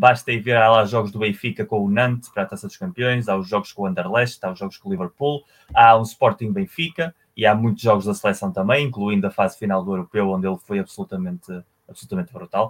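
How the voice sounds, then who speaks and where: A man with a fairly low pitch talks at a very fast pace with ordinary pitch variation. The sound is dry and close, with no echo. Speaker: football podcast co-host. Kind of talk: casual chat.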